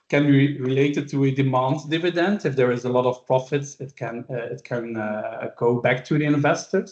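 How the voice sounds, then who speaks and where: Here a man speaks with a fairly high pitch and ordinary pitch variation. His pace is moderate, with hardly any pauses. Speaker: business ownership expert. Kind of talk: webinar presentation. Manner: hesitant, many fillers.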